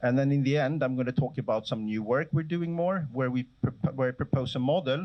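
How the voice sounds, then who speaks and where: Speaking at a fairly quick pace, a man uses lively intonation at a medium pitch. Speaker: professor. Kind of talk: lecture. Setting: lecture hall with audience. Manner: fast.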